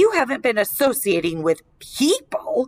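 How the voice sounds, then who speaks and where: A woman puts on a character voice, high in pitch. Her pitch swings very widely. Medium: read story. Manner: worried, fussing.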